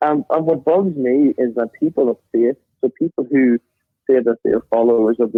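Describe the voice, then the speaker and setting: A man speaks with a Northern Irish accent at a moderate pace. His pitch is medium and varies in an ordinary way. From Northern Ireland. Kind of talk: interview.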